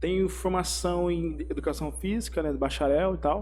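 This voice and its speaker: With audible room echo, a man talks in a dark, mellow tone that is somewhat breathy, his intonation flat and monotone. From Brazil, Mato Grosso do Sul (Campo Grande). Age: 20s. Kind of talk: casual interview, personal testimony. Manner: casual, slangy.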